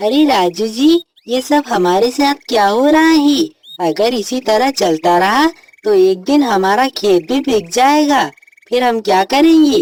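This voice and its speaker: The voice sounds female and is pitched high. It is a cartoonish character voice delivered at a fairly slow pace. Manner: earnest, polite.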